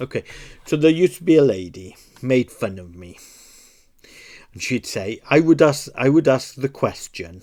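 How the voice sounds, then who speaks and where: A man with a Welsh accent, dark and mellow in tone, with very wide pitch swings, big jumps in loudness and long, frequent pauses, on a very clean recording with a silent background and a dry, close sound free of echo. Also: medium pitch for a man, moderate pace. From Wales. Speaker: puzzle-solving video creator. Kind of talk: casual commentary while solving a puzzle.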